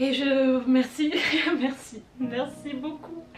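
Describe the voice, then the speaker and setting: A woman talks in a high pitch while music plays behind her. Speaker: YouTuber and writer. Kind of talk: casual Q&A vlog. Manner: halting, repeats words.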